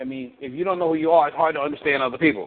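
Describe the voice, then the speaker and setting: This voice belongs to a man. His pitch varies in an ordinary way. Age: 50s. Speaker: relationship coach. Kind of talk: coaching call.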